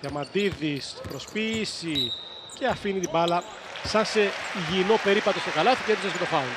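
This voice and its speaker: A man's high voice with ordinary pitch variation comes through noticeable background noise. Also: moderate pace. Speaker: basketball commentator. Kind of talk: live sports commentary on basketball highlights.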